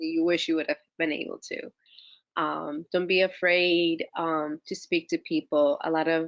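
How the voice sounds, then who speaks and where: This woman speaks with a fairly low pitch. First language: not English. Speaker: nursing student or alum. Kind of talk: webinar panel discussion.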